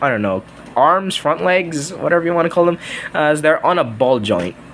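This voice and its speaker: A man talks at a fairly high pitch with lively intonation while noticeable background noise runs behind him. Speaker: toy reviewer. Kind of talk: toy review video. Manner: halting.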